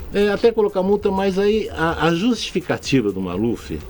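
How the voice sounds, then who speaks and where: Noticeable background noise fills the clip. A man talks through it. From São Paulo state, Brazil. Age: 60s. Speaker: state politician. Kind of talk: radio interview. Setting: radio studio.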